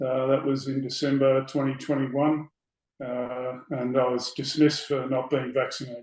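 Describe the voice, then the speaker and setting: A man with an Australian accent speaks at a moderate pace in a medium pitch, his intonation monotone and flat. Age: 60s. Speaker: election candidate, former police officer. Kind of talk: interview. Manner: hesitant with many fillers.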